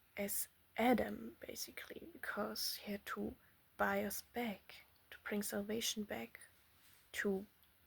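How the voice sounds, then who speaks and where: A non-native accent at a fairly slow pace. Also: long, frequent pauses. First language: not English. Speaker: religious teacher. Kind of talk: bible teaching monologue. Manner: halting.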